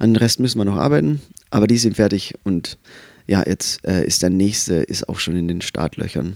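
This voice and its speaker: A man with a fairly low pitch talks at a moderate pace with ordinary pitch variation, the sound dry and close with no echo. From Austria. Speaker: musician. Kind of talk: casual chat.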